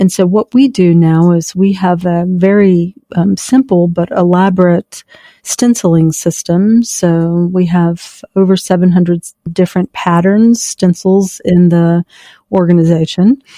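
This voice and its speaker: Dark, mellow tone from a woman at a fairly low pitch, fairly slow and fairly even in intonation, with very even loudness and a dry, close sound with no echo. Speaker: fashion company founder. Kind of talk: interview answer.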